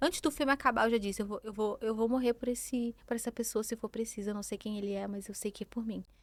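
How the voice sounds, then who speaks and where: A woman with a strong Rio de Janeiro accent talks at a very fast pace with hardly any pauses, her fairly high voice held in fairly even intonation over a dry, close sound with no echo. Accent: strong carioca. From Rio de Janeiro, Brazil. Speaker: pastor. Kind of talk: testimony.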